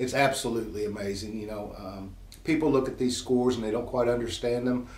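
With fairly even intonation, a man talks in a room that gives audible echo. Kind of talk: company update talk to employees. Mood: calm, appreciative. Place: office.

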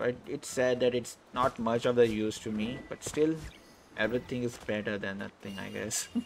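A man talks at a moderate pace in a medium pitch. His loudness swings widely. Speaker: gaming YouTuber. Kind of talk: let's play gaming commentary. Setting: home recording at computer. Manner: animated.

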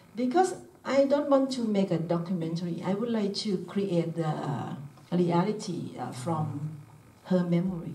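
Audible room echo surrounds a woman speaking with a Thai accent. Her fairly low voice moves at a moderate pace with lively intonation. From Thailand. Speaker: filmmaker. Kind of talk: Q&A discussion. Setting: stage with audience. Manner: halting. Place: hall.

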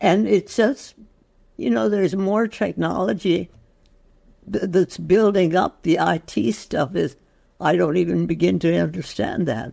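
Over a quiet background, a woman talks at a fairly slow pace with vocal fry, very wide pitch swings, and long, frequent pauses. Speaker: interviewee. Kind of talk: interview answer. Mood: reflective, animated. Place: home room. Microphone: video call.

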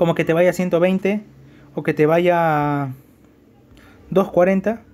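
Pitched high, this man's voice shows ordinary pitch variation. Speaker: gaming YouTuber. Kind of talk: gameplay tutorial. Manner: halting.

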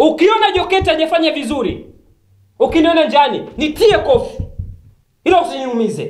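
At a moderate pace, the speaker's voice shows very wide pitch swings, with audible room echo over a quiet background. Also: man, extremely high pitch for a man. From Tanzania. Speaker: political activist commentator. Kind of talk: political monologue to camera. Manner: animated. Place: studio.

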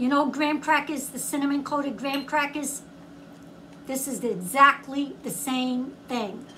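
A woman's raised, projected voice with fairly even intonation at a moderate pace, over light background noise. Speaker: food reviewer. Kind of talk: casual vlog chat. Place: home room. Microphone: phone near.

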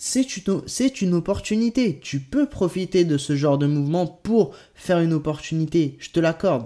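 A man with a high voice and a dark, mellow tone talks with lively intonation against a quiet background. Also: moderate pace. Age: 20s. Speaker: crypto YouTuber. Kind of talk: video commentary. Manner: hesitant, many euh fillers. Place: home room.

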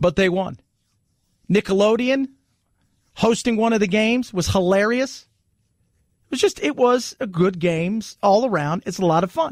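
A man talks at a moderate pace in a high voice with ordinary pitch variation, leaving long, frequent pauses. The sound is dry with no echo against a quiet background. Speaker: radio talk show host. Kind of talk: political talk radio monologue; talk radio commentary. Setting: studio. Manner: animated, conversational. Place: studio.

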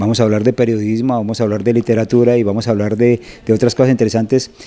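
A man's dark, mellow tone with monotone, flat intonation. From Colombia, Bogotá. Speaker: journalist and novelist; journalist. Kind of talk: interview. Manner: hesitant with fillers. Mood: calm, engaged explanation. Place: studio. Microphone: handheld.

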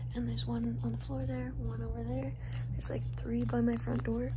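Through loud background noise, a soft-spoken woman speaks with a very deep, low pitch. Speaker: ASMR streamer. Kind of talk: ASMR casual talk to camera. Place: home room. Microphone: phone near.

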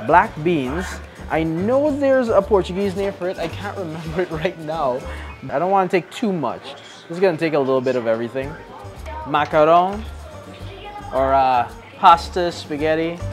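Clear music plays in the background as a man talks at a moderate pace with long, frequent pauses. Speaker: food show host. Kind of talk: casual food vlog commentary. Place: shop.

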